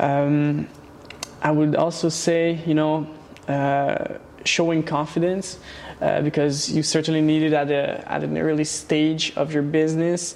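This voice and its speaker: Over noticeable background noise and audible room echo, a man with a fairly high pitch speaks at a very slow pace in a monotone, flat intonation with very even loudness. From Quebec, Laval (born in Romania, Hungarian family). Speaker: pastry shop owner. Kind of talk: interview. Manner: halting, many repetitions.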